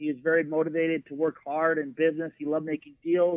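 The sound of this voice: A man talks at a fairly quick pace in a fairly high pitch with little pitch movement, the sound dry and close with no echo.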